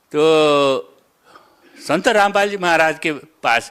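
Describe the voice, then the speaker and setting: Over a silent background in a very clean recording, a bright, sharp tone carries ordinary pitch variation. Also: man. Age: 70s. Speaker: devotee giving testimony. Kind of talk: interview testimony. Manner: halting, with fillers.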